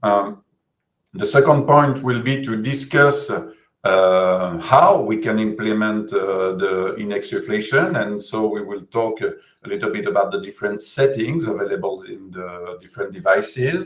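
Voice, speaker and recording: A man speaks with a French accent at a moderate pace, his pitch medium. His intonation is lively. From France, Bordeaux region. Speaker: physiotherapist and researcher. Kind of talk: webinar lecture. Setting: video call webinar. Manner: hesitant, many fillers.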